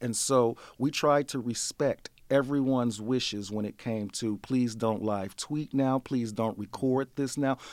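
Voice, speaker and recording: A man with an American accent uses a normal speaking voice at medium pitch, with fairly even intonation and a fairly slow pace. The recording is very clean with a silent background, and the sound is dry and close with no echo. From US Midwest, St. Louis, Missouri. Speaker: literature scholar, conference organizer. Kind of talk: interview.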